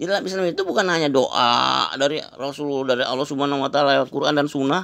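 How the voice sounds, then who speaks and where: Very fast talking from a man comes on a very clean recording with a silent background. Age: 70s. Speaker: breathing exercise practitioner. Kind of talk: interview testimony. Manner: casual, repetitive fillers.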